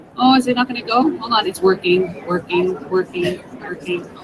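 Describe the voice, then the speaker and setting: A woman with a Canadian accent at a moderate pace, amid noticeable background noise. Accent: Canadian, noticeable on 'sorry'. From Canada, Ontario. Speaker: tech coach, teacher. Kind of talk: conference presentation, tutorial. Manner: animated, chatty.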